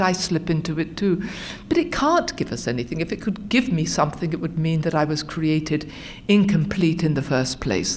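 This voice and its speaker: A woman with a British accent talks at a moderate pace in a fairly low pitch. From England, London area. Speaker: recovery speaker. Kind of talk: testimony.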